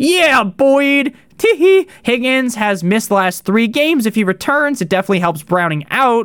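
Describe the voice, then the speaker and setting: A man speaks at an extremely high pitch with very wide pitch swings and very even loudness, at a moderate pace. The sound is dry and close, with no echo. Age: 20s. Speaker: fantasy football podcaster. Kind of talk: casual fantasy football advice. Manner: casual, conversational.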